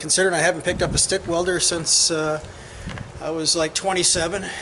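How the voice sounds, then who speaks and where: Over noticeable background noise, a man with an American accent talks very fast at a high pitch. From Iowa. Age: 60s. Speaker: hobby welder vlogger. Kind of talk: casual video commentary. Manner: halting.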